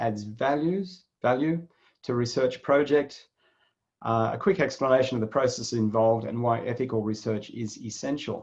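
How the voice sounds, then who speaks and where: A man with an Australian accent speaks at a moderate pace and medium pitch, his intonation lively against a quiet background. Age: 60s. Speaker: psychologist and webinar moderator. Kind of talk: webinar introduction.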